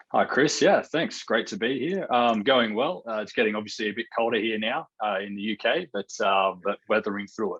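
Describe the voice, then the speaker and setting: A man with an Australian accent talks at a moderate pace with hardly any pauses, the sound dry and close with no echo. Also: medium pitch for a man, ordinary pitch variation. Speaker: real estate researcher. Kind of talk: podcast interview.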